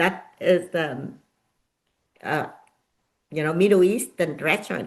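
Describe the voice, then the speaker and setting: This woman has a Vietnamese accent and a fairly low voice. She speaks at a moderate pace with ordinary pitch variation. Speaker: nonprofit founder and author. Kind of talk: interview. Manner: halting.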